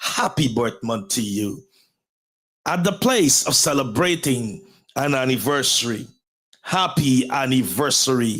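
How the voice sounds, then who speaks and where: Speaking with a Guyanese accent, a man uses medium pitch and lively intonation at a fairly slow pace, with long, frequent pauses. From Guyana. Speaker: pastor and motivational show host. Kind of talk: motivational talk show monologue. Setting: live stream. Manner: formal, repetitive rhetorical phrasing.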